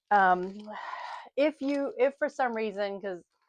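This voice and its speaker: In a Southern US accent, a woman speaks at a fairly slow pace with ordinary pitch variation, the sound dry and close with no echo against a quiet background. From US South. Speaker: lifestyle and travel vlogger. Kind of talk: casual vlog chat. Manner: chatty, rambling.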